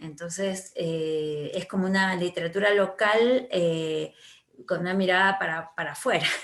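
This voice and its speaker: A woman speaks at a medium pitch with fairly even intonation. Noticeable background noise runs underneath. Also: fairly slow pace. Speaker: writer and teacher. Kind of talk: interview. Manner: halting, many fillers.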